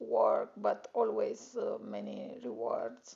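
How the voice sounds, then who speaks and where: A woman's voice with a Spanish accent. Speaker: cake artist and baking teacher. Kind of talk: interview answers. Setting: separately recorded audio sent in. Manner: halting, many fillers.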